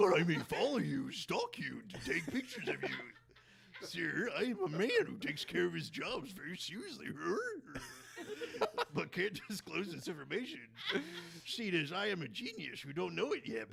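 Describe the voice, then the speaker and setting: Someone puts on a character voice at a moderate pace. Long pauses come often, and background noise is clearly heard. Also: man, high pitch for a man. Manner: goofy, slacker-like.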